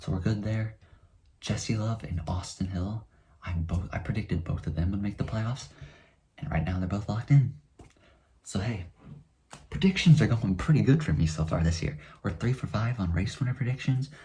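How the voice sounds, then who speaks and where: Fairly quick yet marked by long, frequent pauses, a man's fairly low, somewhat breathy voice carries a dark, mellow tone and lively intonation. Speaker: NASCAR YouTuber. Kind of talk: casual race recap vlog. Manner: fast.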